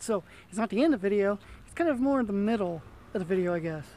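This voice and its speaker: The man's pitch is high and his pace is very fast. The sound is dry, with no echo. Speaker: vlogger. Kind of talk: casual vlog chat. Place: street. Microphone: phone near.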